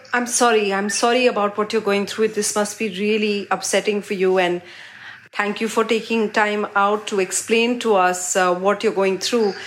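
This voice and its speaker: A woman talks at a moderate pace and medium pitch. Her intonation is monotone and flat, with noticeable background noise. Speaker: radio host interviewer. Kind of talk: interview.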